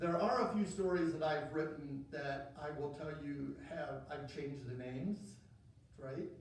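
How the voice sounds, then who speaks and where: Talking at a fairly slow pace with an American accent, a man shows ordinary pitch variation amid audible room echo. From Oak Harbor area, Washington, US. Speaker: local author. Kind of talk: author talk. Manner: hesitant, with word swaps and fillers.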